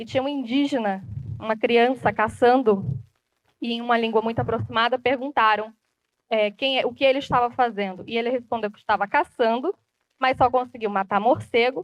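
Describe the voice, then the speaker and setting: A woman with an ordinary speaking voice keeps a moderate pace, her fairly high pitch showing ordinary pitch variation. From Brazilian Amazon (Rondônia, Acre people). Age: 20s. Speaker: journalist and TV presenter. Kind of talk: public talk.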